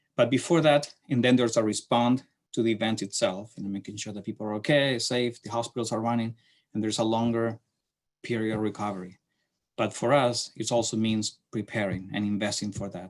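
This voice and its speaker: On a very clean recording with a silent background, a man with a Chilean accent speaks at a medium pitch and a fairly quick pace with fairly even intonation. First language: Spanish. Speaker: city transportation planner. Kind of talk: lecture. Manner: halting.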